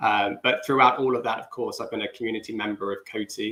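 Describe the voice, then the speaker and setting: The speaker is a man. He talks in a British accent. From UK. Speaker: business development manager. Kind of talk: livestream panel chat.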